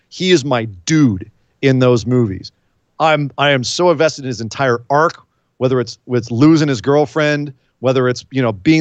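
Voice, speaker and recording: A man speaks at a medium pitch with ordinary pitch variation, in a normal speaking voice. The background is quiet. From California. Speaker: wrestling podcast co-host. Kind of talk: casual chat.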